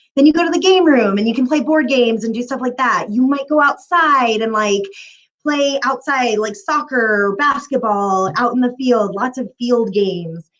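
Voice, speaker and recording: Her pitch is high and her intonation lively. The speaker is a woman. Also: moderate pace. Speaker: city youth services manager. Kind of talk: career talk on video call. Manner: casual, many fillers.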